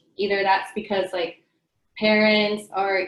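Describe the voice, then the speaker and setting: Woman at medium pitch and a moderate pace, in a Spanish accent. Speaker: early education teacher. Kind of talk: panel discussion. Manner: hesitant, many fillers.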